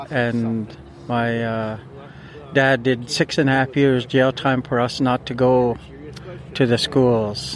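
Noticeable background noise sits behind a man speaking at medium pitch in a monotone, flat intonation. His pace is very slow, with long, frequent pauses. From British Columbia, Canada (First Nations community). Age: 50s. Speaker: residential school survivor family member. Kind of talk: testimony. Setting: outdoors at a sacred fire.

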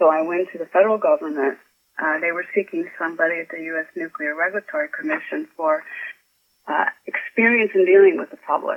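A woman with an American accent talks at a fairly quick pace, her loudness rising and falling in big swings. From Chicago, US Midwest. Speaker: author. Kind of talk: interview.

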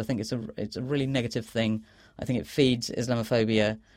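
With a London accent, a man talks on a very clean recording with a silent background. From London, England (Bangladeshi family). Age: 30s. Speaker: author. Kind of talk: interview. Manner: halting, with repetitions.

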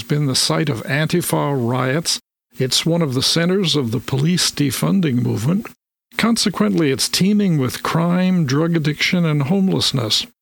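A man with an unremarkable speaking voice talks at a moderate pace and a fairly high pitch, with lively intonation and very even loudness. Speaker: radio host. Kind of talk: radio interview. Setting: studio. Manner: formal.

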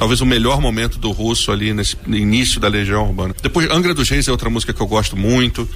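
A man at a fairly quick pace with ordinary pitch variation, amid audible room echo and noticeable background noise. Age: 40s. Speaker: history teacher and web radio host. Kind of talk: casual chat. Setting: studio.

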